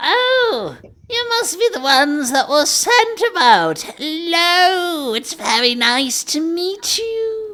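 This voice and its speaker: An extremely high put-on character voice moves very slowly through very wide pitch swings. There are hardly any pauses. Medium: actual play. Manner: polite, refined, theatrical.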